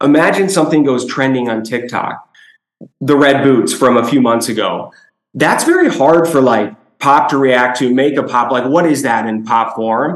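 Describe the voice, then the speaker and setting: With an American accent, a man speaks in an ordinary speaking voice at a medium pitch, with ordinary pitch variation and a moderate pace. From Chicago, US Midwest. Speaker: toy company executive. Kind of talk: business presentation.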